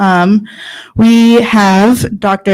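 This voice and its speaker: A woman in an American accent, over noticeable background noise. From United States. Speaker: workshop moderator. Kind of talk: panel moderation.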